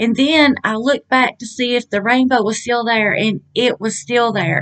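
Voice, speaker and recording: Moderate pace from a female speaker. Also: quiet background. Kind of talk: casual vlog chat. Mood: awed, earnest. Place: home room. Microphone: webcam.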